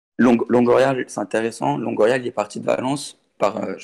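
A man's put-on character voice, hoarse and medium in pitch, at a moderate pace.

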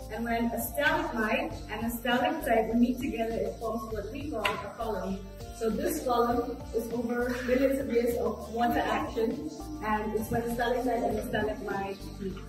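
Against clear music in the background and strong room echo, a woman speaks at a moderate pace with ordinary pitch variation. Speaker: cave guide. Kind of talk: explanatory guide talk. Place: tunnel cave.

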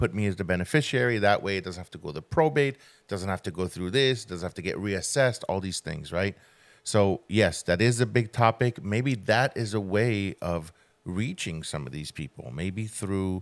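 Over a quiet background, a man with fairly low pitch speaks at a moderate pace with lively intonation. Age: 40s. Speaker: podcast co-host. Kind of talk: casual chat. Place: studio. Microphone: studio mic.

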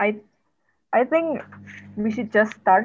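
A woman with an Indonesian accent speaks at a moderate pace. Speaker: webinar moderator and interpreter. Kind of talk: event moderation. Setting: video call.

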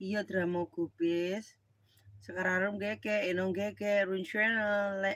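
A very slow, monotone delivery with flat intonation and a dry sound with no echo. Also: woman. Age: middle-aged. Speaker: live streamer. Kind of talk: casual live stream chat. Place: home room. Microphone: phone near.

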